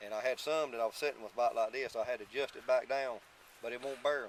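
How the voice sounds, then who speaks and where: Noticeable background noise sits behind a man speaking very fast at medium pitch. He talks in an eastern North Carolina accent with fairly even intonation. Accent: Southern US, eastern North Carolina. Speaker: tobacco farmer. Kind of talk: interview answer. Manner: casual, emphatic.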